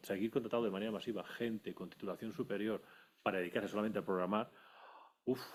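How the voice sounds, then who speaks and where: An ordinary speaking voice from a man, fairly low in pitch, with fairly even intonation. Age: 60s. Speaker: audience member, industrial engineer. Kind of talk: audience question.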